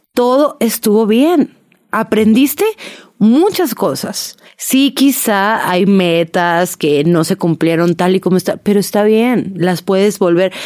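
Speaking at a very slow pace, a woman keeps her loudness very even at medium pitch. Her intonation is lively. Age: 20s. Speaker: podcast host. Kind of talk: casual monologue.

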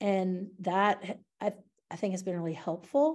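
In a Southern US accent, a woman speaks with a dark, mellow tone against a quiet background. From US South. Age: 50s. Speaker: early childhood studies professor. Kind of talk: interview conversation. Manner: hesitant, many fillers.

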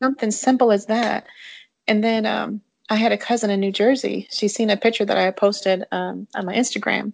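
A moderate pace, fairly even intonation and an American accent, in an unremarkable speaking voice. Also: woman, quiet background. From Michigan, Jackson. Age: 40s. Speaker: adoptee guest. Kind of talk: casual interview.

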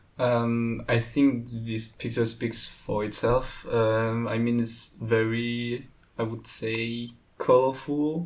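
A man speaks in a medium pitch with a French accent. His pace is very slow and his intonation monotone and flat. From France. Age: young. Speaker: pixel art student. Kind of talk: casual interview. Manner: halting.

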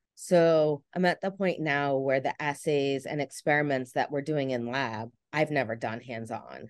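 With a New Jersey accent, a woman with a very deep, low voice talks at a fairly slow pace with hardly any pauses and ordinary pitch variation, the sound dry and close with no echo against a quiet background. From New Jersey, near Philadelphia. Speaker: research scientist and assistant professor. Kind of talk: casual interview. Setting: video call.

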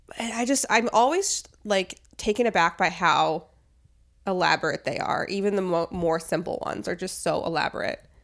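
A woman has an ordinary speaking voice at a medium pitch. Her pace is moderate. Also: ordinary pitch variation. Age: 30s. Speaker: podcast co-host. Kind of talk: casual chat.

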